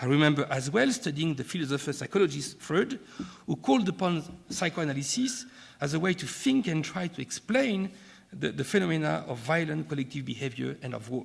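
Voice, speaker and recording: Talking at a fairly quick pace, a man with a French accent has a fairly high pitch, vocal fry and lively intonation. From France. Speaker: keynote speaker, academic and former diplomat. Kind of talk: keynote lecture. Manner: formal, with hesitations and repetitions.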